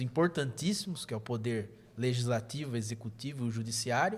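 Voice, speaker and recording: On a very clean recording with a silent background, a man with a somewhat breathy voice talks at a moderate pace, with a medium pitch and ordinary pitch variation. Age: 30s. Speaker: state legislator. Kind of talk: podcast interview.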